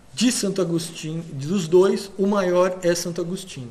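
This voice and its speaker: Audible room echo surrounds a man with a high pitch who speaks at a very slow pace. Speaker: lecturer. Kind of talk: lecture.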